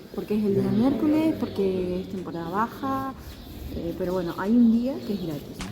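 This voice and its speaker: A woman speaks at a moderate pace and a medium pitch, her pitch swinging very widely, with audible room echo and noticeable background noise. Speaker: travel vlogger. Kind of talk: casual chat. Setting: indoors in castle. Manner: whispering.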